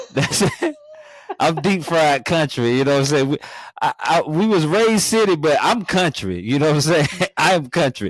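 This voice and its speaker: Amid noticeable background noise, a man speaks at a fairly high pitch and a moderate pace. His intonation is lively and his loudness very even. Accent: American. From North Carolina. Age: 40s. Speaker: podcast host. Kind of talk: show intro; casual chat.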